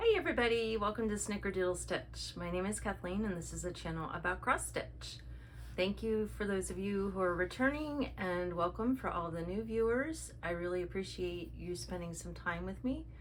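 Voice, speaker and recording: An American accent marks a woman speaking at a moderate pace amid audible room echo. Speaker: cross stitch video creator. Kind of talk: casual chat. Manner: frequent 'um' fillers.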